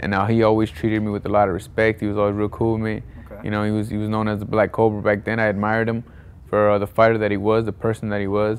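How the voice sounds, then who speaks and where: A man's fairly low voice at a very fast pace, with monotone, flat intonation and light background noise. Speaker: interviewee. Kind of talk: interview answer. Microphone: lapel.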